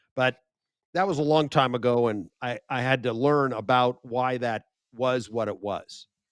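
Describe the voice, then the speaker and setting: Speaking with an American accent, a man talks at a fairly slow pace with medium pitch and ordinary pitch variation. The sound is dry and close with no echo. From United States. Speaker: media expert and speaker. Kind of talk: interview conversation. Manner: animated.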